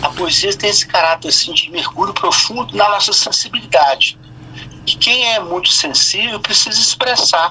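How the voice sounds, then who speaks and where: Amid noticeable background noise, a man speaks at a moderate pace in a high pitch with lively intonation and very even loudness. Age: 60s. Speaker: poet. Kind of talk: interview.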